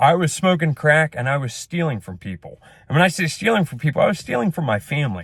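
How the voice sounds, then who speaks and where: A loud, fairly high male voice with very wide pitch swings. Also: dry, close sound with no echo. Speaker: small business owner and vlogger. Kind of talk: casual rant monologue. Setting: in a truck.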